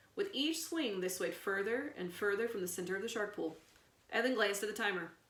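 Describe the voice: In plain reading aloud, the intonation moves in a lively way.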